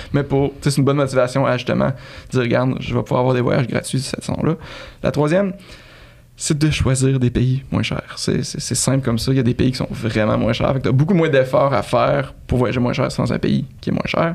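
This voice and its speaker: A man with a Quebec accent, medium pitch, ordinary pitch variation and a fairly quick pace, amid noticeable background noise. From Canada. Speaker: travel website co-founder. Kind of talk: interview.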